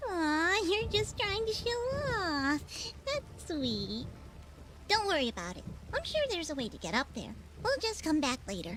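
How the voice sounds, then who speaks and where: A put-on character voice at high pitch and moderate pace, with long, frequent pauses and clear background noise. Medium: video game. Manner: chatty, playful.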